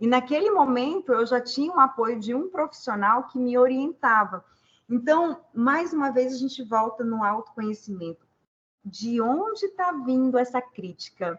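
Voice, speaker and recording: A woman speaks in a high pitch at a fairly slow pace. Her pitch swings very widely. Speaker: leadership and human development consultant. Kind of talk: panel discussion answer.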